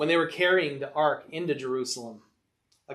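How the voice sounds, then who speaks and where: A man speaks in a normal speaking voice at a fairly high pitch and fairly quick pace, with fairly even intonation. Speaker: Bible study teacher. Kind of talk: Bible class discussion. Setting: church.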